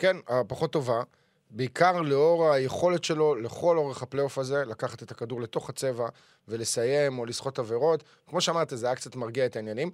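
A man has an ordinary speaking voice. Its pitch sits in the middle and moves an ordinary amount. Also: fairly quick pace. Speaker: sports podcast host. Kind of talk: casual chat.

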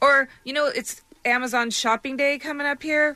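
The voice is raised and projected. Its tone is bright and sharp. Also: woman. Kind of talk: casual on-air chat, then charity promo. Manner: chatty, laughing, friendly.

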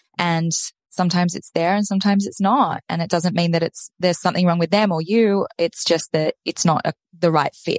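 Her voice is somewhat breathy and fairly low for a woman, moving at a fairly quick pace with fairly even intonation, captured dry and close with no echo. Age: 30s. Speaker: dating and relationship coach, podcast host. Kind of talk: interview.

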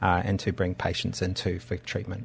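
Somewhat breathy, a man with an Australian accent speaks at a moderate pace. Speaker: doctor and company founder. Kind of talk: radio interview. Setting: studio.

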